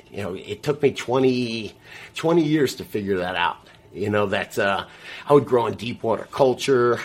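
A man with an American accent, an unremarkable speaking voice, medium pitch, ordinary pitch variation and a moderate pace. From US South, South Florida. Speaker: grower and gardening show host. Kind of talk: casual interview.

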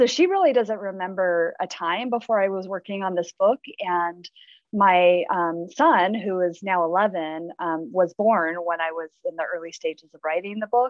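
A woman with an American accent, a plain, everyday voice, medium pitch, ordinary pitch variation and a moderate pace. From Southern California. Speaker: English professor and associate dean. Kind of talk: interview. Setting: video call.

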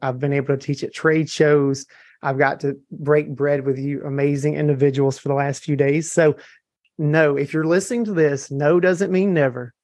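A man with a Southern US accent, a fairly high pitch, fairly even intonation and a moderate pace. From US South, Mississippi. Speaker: hair color trainer. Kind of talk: testimony. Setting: live audience at event.

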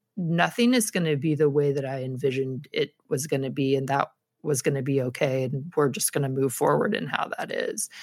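Her pitch very deep and low, a woman speaks at a fairly quick pace with ordinary pitch variation. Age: 40s. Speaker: scrapbooking instructor. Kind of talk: casual chat.

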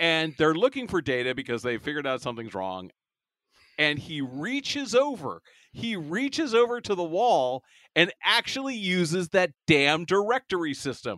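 Bright and sharp in tone, a man speaks at a high pitch with very wide pitch swings at a moderate pace, the sound dry and close with no echo. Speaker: podcast host. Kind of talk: casual comedic chat about TV episode. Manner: joking, banter, interrupts.

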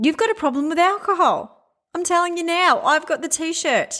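Bright and sharp in tone, a woman speaks with an Australian accent on a very clean recording with a silent background. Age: 40s. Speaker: commercial real estate agent and podcast host. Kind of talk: solo podcast monologue.

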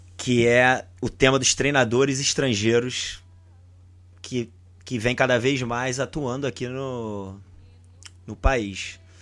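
The speech is very slow and monotone, with flat intonation and long, frequent pauses, in a very clean recording with a silent background. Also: man, medium pitch for a man. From Brazil. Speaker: football podcast host. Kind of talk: casual chat.

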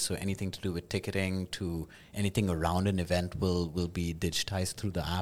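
On a very clean recording with a silent background, a man speaks at a very fast pace. His voice has a very deep, low pitch and monotone, flat intonation. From Kuwait. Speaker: food truck owner and app co-founder. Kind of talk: casual interview chat.

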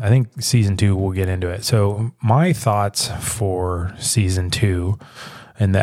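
On a very clean recording with a silent background and a dry, close sound with no echo, a man speaks at a moderate pace and fairly low pitch, somewhat breathy, with fairly even intonation. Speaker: podcast host. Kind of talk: casual solo monologue. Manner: casual, laughing, many fillers.

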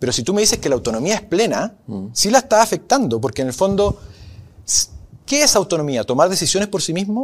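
The voice sweeps through very wide pitch swings. The pace is fairly quick. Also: man. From northern Chile, Arica. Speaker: law professor. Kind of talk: interview. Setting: venue hall. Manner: hesitant, many fillers.

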